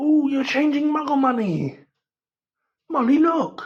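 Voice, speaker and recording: A female-sounding put-on character voice speaks at a high pitch and a fairly slow pace. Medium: read story.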